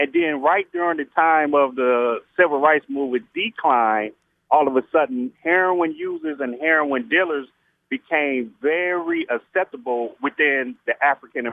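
With a plain, everyday voice, a man speaks at a moderate pace with a fairly high pitch and lively intonation. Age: 40s. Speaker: caller. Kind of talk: call-in question.

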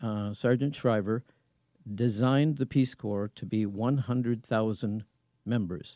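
With an American accent, a man at medium pitch speaks at a fairly slow pace with a dark, mellow tone and ordinary pitch variation, in a dry, close sound with no echo over a quiet background. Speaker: congressional candidate. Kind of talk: interview. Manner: halting.

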